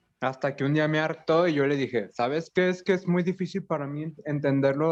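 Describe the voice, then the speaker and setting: A fairly high-pitched man talks fairly quickly, his pitch varying in an ordinary way. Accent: Mexican. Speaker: language teacher, student in a class. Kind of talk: class discussion.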